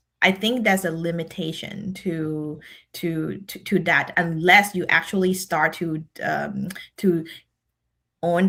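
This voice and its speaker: A woman's fairly low voice at a fairly slow pace, fairly even in intonation, on a very clean recording with a silent background. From Thailand. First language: Thai. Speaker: decision scientist and leadership speaker. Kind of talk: podcast interview. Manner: halting, many fillers and repeats.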